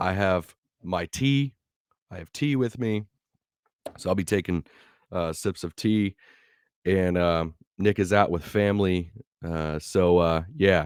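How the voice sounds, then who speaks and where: A man speaks at a fairly slow pace with long, frequent pauses. His pitch is very deep and low. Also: ordinary pitch variation, dry, close sound with no echo. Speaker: sports podcast co-host. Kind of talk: casual podcast talk.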